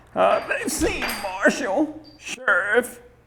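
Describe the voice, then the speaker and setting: With music in the background and audible room echo, a man speaks at a very slow pace. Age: 60s. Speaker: museum owner and guide. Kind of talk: museum tour interview.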